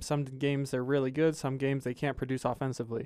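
A man with a plain, everyday voice talks at a fairly high pitch and a fairly quick pace. The recording is very clean, with a silent background. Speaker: sports podcast co-host. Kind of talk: casual chat.

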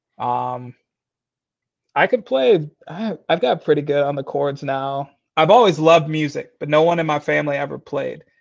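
In an unremarkable speaking voice with an American accent, the speaker keeps a moderate pace and ordinary pitch variation against a quiet background. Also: man, fairly high pitch for a man. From Michigan. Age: 20s. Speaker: CrossFit athlete. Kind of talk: casual interview.

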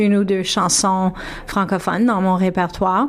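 A woman speaks over noticeable background noise. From Toronto, Ontario (Franco-Ontarian). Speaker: singer. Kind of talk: radio interview. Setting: radio studio. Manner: halting.

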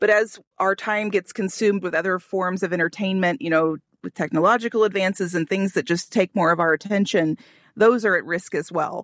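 A woman speaks in a plain, everyday voice with an American accent, at a medium pitch and with fairly even intonation, against a quiet background. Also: fairly quick pace. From Ozarks, Missouri. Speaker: writer and local historian. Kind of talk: interview.

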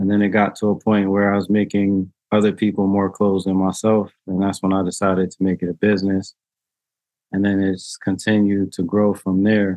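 At a moderate pace, a man with an American accent talks at a fairly low pitch. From New Haven, Connecticut. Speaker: clothing designer and entrepreneur. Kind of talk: casual interview. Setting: video call.

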